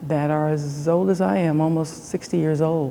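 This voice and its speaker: At a moderate pace, a woman with a very deep, low pitch speaks in a flat monotone over noticeable background noise. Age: 60s. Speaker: daughter of the artist. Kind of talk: interview.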